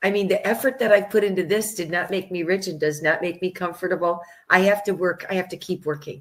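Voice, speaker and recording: Speaking very fast with an American accent, a woman keeps her intonation fairly even. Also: medium pitch for a woman. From United States. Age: 60s. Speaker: vaccine researcher and author. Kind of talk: interview.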